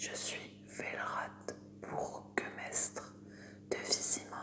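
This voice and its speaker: Someone whispers amid noticeable background noise. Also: woman. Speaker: ASMR creator. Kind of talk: fantasy novel reading. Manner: whispered, soft.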